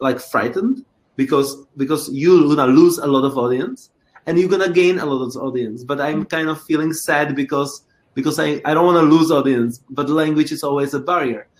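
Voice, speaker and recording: Here a man with a Czech accent speaks at a fairly quick pace. His pitch is fairly high. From Czech Republic. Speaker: choreographer and creator. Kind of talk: interview. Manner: halting, frequent repetitions.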